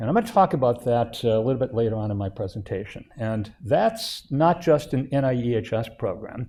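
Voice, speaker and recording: Somewhat breathy, a man speaks at medium pitch with ordinary pitch variation and hardly any pauses. The background is quiet. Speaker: institute director chairing advisory council. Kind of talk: presentation to advisory council. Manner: hesitant, many filler uhs.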